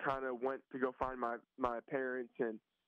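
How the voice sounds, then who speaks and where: The voice belongs to a man. It stays at a medium pitch. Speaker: college football quarterback. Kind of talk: interview. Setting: phone call. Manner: halting.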